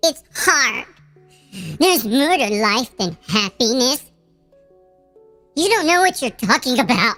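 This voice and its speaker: The speaker uses a put-on character voice with a whiny tone at a moderate pace. Faint music plays in the background. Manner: whiny, complaining, dismissive.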